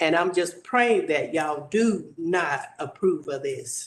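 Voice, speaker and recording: A man with a Southern US accent speaks at a high pitch. His pitch variation is ordinary. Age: 70s. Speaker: resident speaking at public hearing. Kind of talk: public comment.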